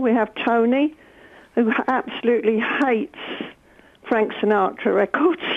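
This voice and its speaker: A woman's fairly high voice at a moderate pace, with ordinary pitch variation, long and frequent pauses, and noticeable background noise. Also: very even loudness. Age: 70s. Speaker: caller, fitness class member. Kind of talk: radio phone-in chat. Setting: phone call.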